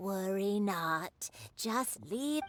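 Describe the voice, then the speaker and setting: A woman's put-on character voice at a medium pitch, with lively intonation and music in the background. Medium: video game. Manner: curt, weary.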